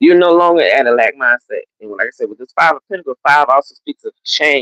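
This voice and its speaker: In an American accent, the speech proceeds at a moderate pace. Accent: Southern country Gullah Geechee. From US South, Gullah Geechee coast. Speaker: tarot reader. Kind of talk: livestream tarot reading. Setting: live stream. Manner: casual, conversational.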